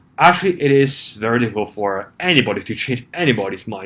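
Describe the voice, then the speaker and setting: Speaking fairly quickly, a man talks with a non-native accent. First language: not English. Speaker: YouTuber. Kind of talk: vlog commentary. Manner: halting, with many fillers.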